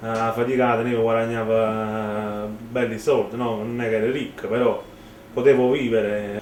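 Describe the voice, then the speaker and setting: In a Neapolitan accent, a man speaks with flat, monotone intonation. Noticeable background noise and audible room echo surround him. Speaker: rapper. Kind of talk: interview. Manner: halting.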